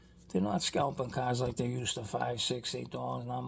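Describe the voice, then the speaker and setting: A man with a Boston accent at a very fast pace. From Boston area, Massachusetts. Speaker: toy car collector YouTuber. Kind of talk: casual vlog monologue. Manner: rambling conversational, many fillers.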